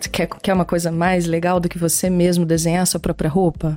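A woman talks in a fairly low register against noticeable background noise. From Minas Gerais, Brazil. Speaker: brand art director. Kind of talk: interview.

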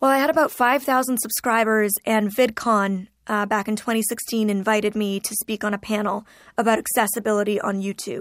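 In a Canadian accent, a woman with an unremarkable speaking voice talks at a fairly quick pace and fairly high pitch with fairly even intonation, in a very clean recording with a silent background. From Ontario, Canada. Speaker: YouTuber and motivational speaker. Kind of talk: interview.

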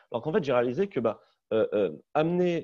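With a dark, mellow tone, a man speaks at a fairly quick pace and ordinary pitch variation over a quiet background. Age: 30s. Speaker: startup CEO. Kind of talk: webinar panel discussion.

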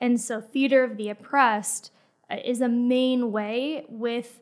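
A woman with an American accent speaks in a monotone with flat intonation. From Florida. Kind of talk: interview. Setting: studio.

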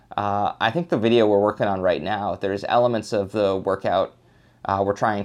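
A man has a normal speaking voice with a fairly low pitch. He talks at a fairly quick pace against a quiet background. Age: 30s. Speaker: YouTuber. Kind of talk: casual interview chat.

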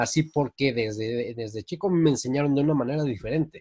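Recorded very cleanly against a silent background, a man speaks in a fairly high, somewhat breathy voice. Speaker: radio host. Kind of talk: casual chat.

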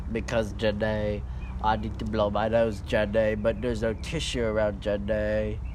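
Over noticeable background noise, a man puts on a nasal character voice and talks at a moderate pace.

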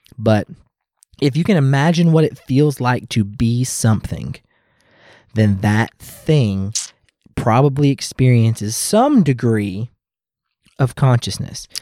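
A dark, mellow tone in an American accent, with very even loudness, a very slow pace, long and frequent pauses, and a very clean recording over a silent background. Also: man, medium pitch for a man, ordinary pitch variation. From US South, Louisville, Kentucky. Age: 30s. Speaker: podcast host. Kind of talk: casual chat. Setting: home studio.

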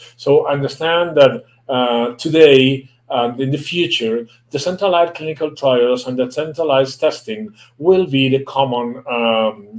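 A man speaks at a fairly slow pace in a Spanish accent. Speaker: medical translator running a webinar. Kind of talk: live webinar lecture. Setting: live online broadcast. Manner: halting, many fillers and restarts.

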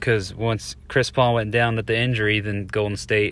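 Speaking with fairly even intonation, a man keeps to a moderate pace. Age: 20s. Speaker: sports podcaster. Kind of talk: solo podcast monologue. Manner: frequent filler words.

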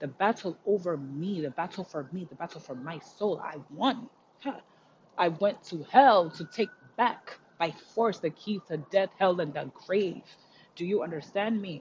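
A woman speaks at a fairly slow pace in a fairly low, somewhat breathy voice, with lively intonation and big swings in loudness. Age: 30s. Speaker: spiritual podcaster. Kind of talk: motivational solo talk. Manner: animated, frequent laughter.

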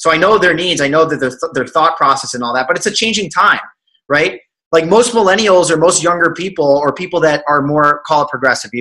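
A man with a fairly high pitch, bright and sharp in tone, animated and fairly quick, with ordinary pitch variation. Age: 20s. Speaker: financial advisor and entrepreneur. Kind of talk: casual interview chat. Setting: video call.

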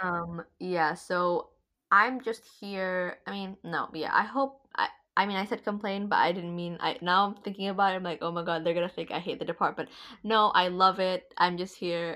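This woman has a medium pitch and an animated, bright, sharp tone. She talks at a moderate pace. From Indonesia. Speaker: university student podcast host. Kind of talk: casual chat. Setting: video call.

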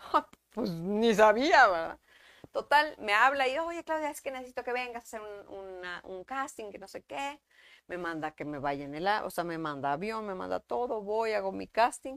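A woman at a medium pitch speaks at a fairly slow pace with very wide pitch swings and big swings in loudness, the sound dry and close with no echo in a very clean recording with a silent background. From Mexico, Monterrey. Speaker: actress. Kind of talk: casual chat. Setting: live stream.

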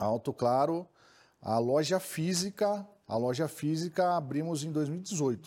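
Very slow speech in a dark, mellow tone with ordinary pitch variation comes on a very clean recording with a silent background. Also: man, fairly high pitch for a man. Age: 30s. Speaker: used car dealer. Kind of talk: interview.

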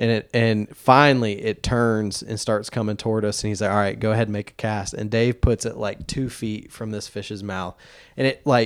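Speaking in a normal speaking voice with an American accent, a man keeps a medium pitch and a moderate pace. The recording is very clean, with a silent background. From Asheville, North Carolina. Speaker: fly fishing gear rental business owner. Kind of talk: casual interview chat. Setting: home basement studio.

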